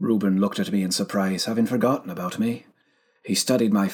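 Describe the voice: Someone reads aloud plainly. Their pitch shifts in a normal way.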